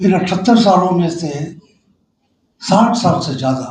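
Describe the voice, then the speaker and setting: A man speaks with fairly high pitch and ordinary pitch variation. Audible room echo surrounds his voice. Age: 70s. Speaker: political commentator. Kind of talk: panel discussion.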